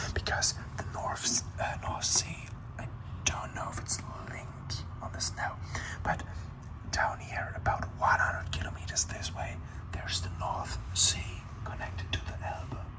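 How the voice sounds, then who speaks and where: A man whispers at a fairly slow pace, with long, frequent pauses. Noticeable background noise runs underneath. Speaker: ASMR creator. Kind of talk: ASMR whispered explanation. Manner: whispered, soft-spoken, slow.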